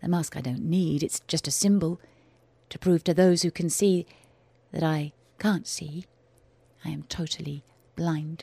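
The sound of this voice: A woman's put-on character voice, low-pitched and dark and mellow, with a slightly husky edge and vocal fry, fairly even intonation, a fairly slow pace, and a dry, close sound with no echo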